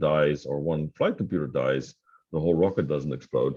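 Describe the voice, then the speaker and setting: Speaking in a Dutch accent at a fairly quick pace, a man has a very deep, low pitch and a dark, mellow tone. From Netherlands. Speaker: tech company founder and CEO. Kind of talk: interview. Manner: hesitant, many fillers.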